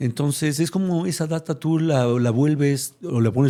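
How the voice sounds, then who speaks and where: A man speaks in a dark, mellow tone. The recording is very clean, with a silent background. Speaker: retired corporate executive. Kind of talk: interview conversation. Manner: fast.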